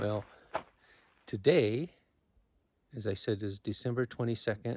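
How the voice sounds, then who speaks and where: A man's somewhat breathy voice at medium pitch, with ordinary pitch variation, a fairly slow pace and a dry, close sound with no echo. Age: 70s. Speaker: wilderness patrol volunteer and vlogger. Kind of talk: casual vlog narration. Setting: outdoors. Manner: halting.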